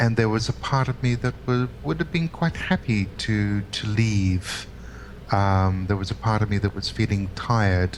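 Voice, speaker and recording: Fairly low-pitched male voice with lively intonation at a moderate pace, over noticeable background noise. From Britain. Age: 50s. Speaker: healer and spiritual teacher. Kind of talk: interview. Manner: halting.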